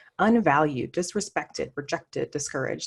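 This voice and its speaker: A woman's fairly quick speech with lively intonation. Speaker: diversity and inclusion consultant, CEO. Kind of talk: virtual presentation talk. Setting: video call. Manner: fast; conversational.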